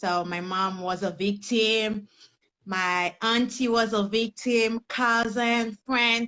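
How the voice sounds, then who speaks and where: Speaking very slowly with a Haitian accent, a woman uses a fairly high pitch and a bright, sharp tone, recorded dry and close with no echo. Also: fairly even intonation. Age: young. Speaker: personal development coach. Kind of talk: interview testimony.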